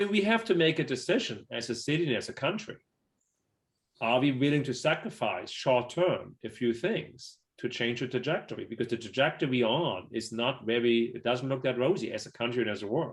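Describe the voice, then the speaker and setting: Somewhat breathy, the speaker uses lively intonation and has a German accent. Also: man, medium pitch for a man, fairly quick pace. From Germany. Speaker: city business development executive. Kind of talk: panel interview.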